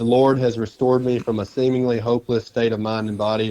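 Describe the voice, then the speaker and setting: A man speaks at a fairly quick pace with an Alabama accent. His medium-pitched delivery is monotone, with flat intonation. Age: 20s. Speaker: loan officer, recovered addict. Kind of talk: testimony.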